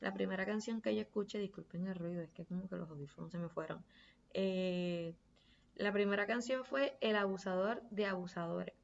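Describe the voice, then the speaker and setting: At a moderate pace, a woman speaks in a medium pitch. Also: ordinary pitch variation. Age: 20s. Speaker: podcast host. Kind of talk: casual monologue.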